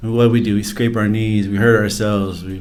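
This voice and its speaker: A man speaks at a fairly low pitch in a monotone, flat intonation, with audible room echo. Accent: American. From Arizona, US. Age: 40s. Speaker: addiction recovery storyteller. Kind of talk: interview testimony. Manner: casual, hesitant with fillers.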